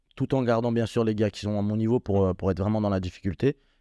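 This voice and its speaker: A man talks at a very fast pace in a fairly low pitch, with a dark, mellow tone and ordinary pitch variation. The sound is dry and close with no echo against a quiet background. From France, Strasbourg area. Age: 20s. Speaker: MMA fighter. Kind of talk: interview. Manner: hesitant, many fillers.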